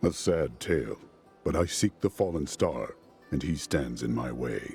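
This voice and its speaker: A man's put-on character voice, stern and very deep, with music clearly audible behind it. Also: moderate pace. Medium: video game. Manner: terse, stern.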